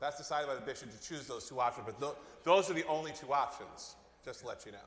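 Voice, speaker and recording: A man's fairly high voice at a very fast pace, with big swings in loudness and audible room echo. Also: ordinary pitch variation. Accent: Long Island. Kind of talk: Q&A at parish meeting. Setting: church meeting, livestreamed.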